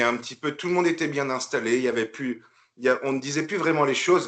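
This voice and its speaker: A man speaks at a fairly quick pace. His pitch is medium, with ordinary pitch variation. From northern France (Picardy). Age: 40s. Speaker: bodybuilder, retired military. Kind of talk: podcast interview. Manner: hesitant, many fillers.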